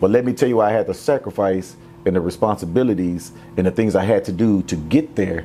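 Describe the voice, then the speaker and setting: Over music in the background, a man with an American accent talks at a fairly quick pace, using a fairly low pitch and ordinary pitch variation. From Houston, Texas. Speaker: athletic director and former NFL player. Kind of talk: interview conversation.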